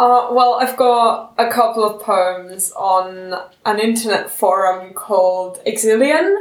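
A woman's very slow, fairly high voice with hardly any pauses, very even loudness and ordinary pitch variation. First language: German. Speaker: student writer. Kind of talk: casual chat.

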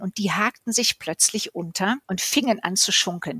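In a plain, everyday voice, a woman talks at a moderate speed. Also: dry, close sound with no echo. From Cologne, Germany. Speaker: carnival cabaret performer. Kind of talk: interview.

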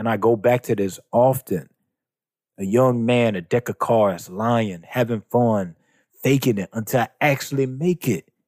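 A fairly slow voice in a Southern US accent, with ordinary pitch variation, a dry, close sound with no echo, and a very clean recording with a silent background. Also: man. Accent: Southern American. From US South, South Carolina. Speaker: writer and church leader. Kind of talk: interview conversation.

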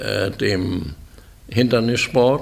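A man's voice at a very slow pace. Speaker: horse breeder and sponsor. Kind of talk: interview. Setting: stud farm. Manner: halting.

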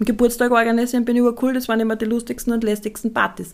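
A woman is talking. Her voice is fairly high in pitch. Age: 30s. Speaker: podcast host, essential oils business. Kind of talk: casual solo podcast monologue.

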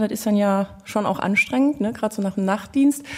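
The voice moves at a fairly quick pace with ordinary pitch variation, a somewhat breathy quality and a dark, mellow tone. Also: woman. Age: 40s. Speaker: police officer, podcast co-host. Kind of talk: casual chat.

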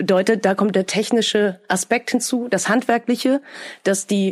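This woman speaks at a moderate pace in a fairly high pitch with ordinary pitch variation. It is a plain, everyday voice. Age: 30s. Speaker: dubbing studio manager. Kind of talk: interview.

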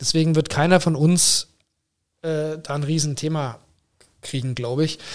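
This man has a normal speaking voice with fairly high pitch. He talks at a moderate pace with fairly even intonation. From Germany, Braunschweig area. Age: 40s. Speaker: hospital managing director. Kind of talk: interview.

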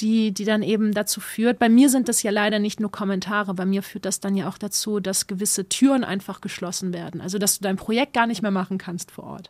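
On a very clean recording with a silent background, a woman with an unremarkable speaking voice speaks at a fairly high pitch with fairly even intonation. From East Belgium, German-speaking community. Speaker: spoken word artist and youth workshop leader. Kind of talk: interview testimony.

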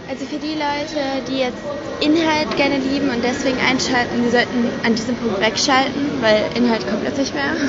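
A woman with a high pitch speaks at a moderate pace with fairly even intonation. Noticeable background noise and audible room echo fill the recording. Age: 19. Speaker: podcast co-host. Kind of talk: casual chat. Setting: train station.

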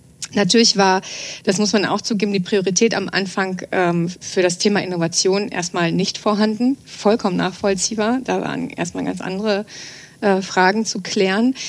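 Over noticeable background noise, a woman talks at a moderate pace in a medium pitch with fairly even intonation. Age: 40s. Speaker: trend scout at a chamber of commerce. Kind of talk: podcast interview. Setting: studio. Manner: frequent hesitation fillers.

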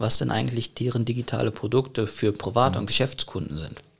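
Vocal fry and lively intonation from a man. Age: 20s. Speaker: business consultant. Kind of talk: interview. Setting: podcast studio.

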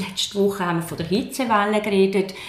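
With a monotone, flat intonation and a medium pitch, a woman talks in a room with audible echo and noticeable background noise. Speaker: politician. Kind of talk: political debate. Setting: office.

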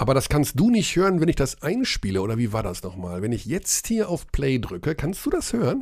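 Vocal fry runs through a man's fairly high voice as his pitch swings very widely, recorded very cleanly against a silent background. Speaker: basketball podcast host. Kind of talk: casual chat.

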